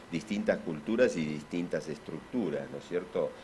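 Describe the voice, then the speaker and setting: There is light background noise. A man speaks with an Argentine accent and a very deep, low pitch. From Argentina. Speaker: physician and symposium speaker; speaker. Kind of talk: conference talk. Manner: halting, many fillers. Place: hall. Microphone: podium.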